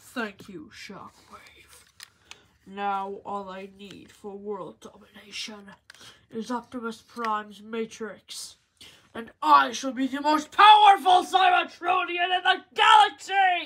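A put-on character voice, female-sounding and high-pitched, moves at a fairly slow pace with very wide pitch swings. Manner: gloating, grandiose.

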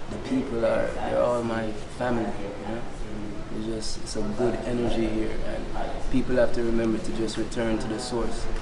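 A man speaks in a Jamaican accent over loud background noise. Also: moderate pace. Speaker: chanter, reggae-style musician. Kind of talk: interview answer. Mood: calm, confident, preaching tone.

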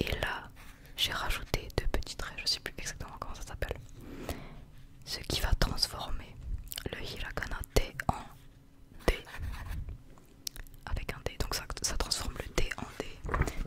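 Whispering in a relaxed tone, a woman goes at a fairly slow pace with long, frequent pauses. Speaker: ASMR content creator acting as a Japanese teacher. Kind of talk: ASMR roleplay lesson for sleep. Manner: soft, slow, relaxed, casual. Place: home room. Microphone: studio mic.

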